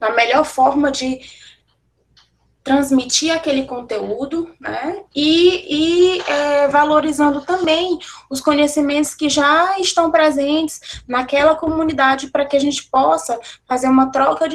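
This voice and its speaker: A woman's high voice moves at a fairly slow pace, its pitch varying in an ordinary way. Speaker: university professor giving a lecture. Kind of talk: online lecture.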